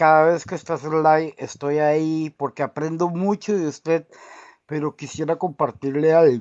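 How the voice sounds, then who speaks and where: A man speaks in a Colombian accent at a fairly high pitch. His intonation stays fairly even against a quiet background. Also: dry, close sound with no echo. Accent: clear Colombian. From Costa Rica, from San Andrés Colombia. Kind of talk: call-in conversation.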